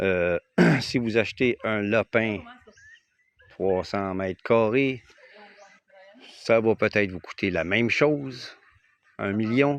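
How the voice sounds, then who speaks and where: The speaker has a Quebec accent and talks at a very slow pace. Long, frequent pauses break up speech with ordinary pitch variation. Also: man, fairly low pitch for a man, dry, close sound with no echo. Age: 60s. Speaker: retired expat vlogger. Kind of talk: casual vlog talk to camera. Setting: outdoors on his land. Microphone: phone microphone.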